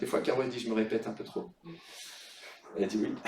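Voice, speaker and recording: An animated tone with audible room echo. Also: man. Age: 60s. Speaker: pastor. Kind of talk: sermon.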